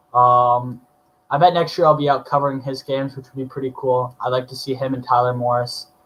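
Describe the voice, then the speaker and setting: At a moderate pace, a man speaks at medium pitch in an ordinary speaking voice. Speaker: sports podcaster. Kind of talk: solo podcast commentary.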